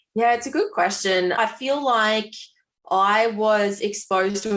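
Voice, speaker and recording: A woman with a strong Australian accent and ordinary pitch variation. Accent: strong rural Australian. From Australia, rural Victoria (Swan Hill, Mallee). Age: 20s. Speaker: nurse, midwife and fitness coach. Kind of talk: podcast interview. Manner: casual, chatty.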